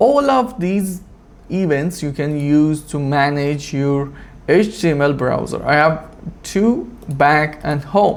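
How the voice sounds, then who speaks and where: The speech comes very slowly, with a non-native accent. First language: not English. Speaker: automation tutorial creator. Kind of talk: screen-recorded tutorial. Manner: halting, with fillers.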